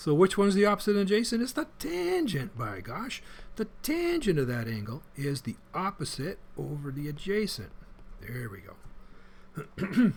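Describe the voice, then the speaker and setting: Upbeat in tone, a man speaks in a high voice at a fairly slow pace. His pitch swings very widely, and his loudness shifts in big swings. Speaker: math teacher. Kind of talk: lecture. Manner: casual, upbeat.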